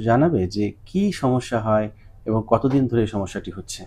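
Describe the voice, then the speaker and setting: A man speaks with a dark, mellow tone that is somewhat breathy. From Bangladesh. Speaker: ENT doctor. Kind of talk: doctor's patient consultation video. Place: office. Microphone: lapel.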